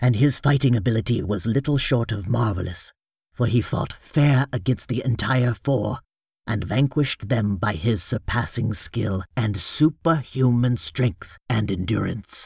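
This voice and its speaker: Delivered in a put-on character voice at a moderate pace, the speech has ordinary pitch variation and a dry, close sound with no echo. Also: man, medium pitch for a man. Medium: read story. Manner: formal, deferential, deliberate.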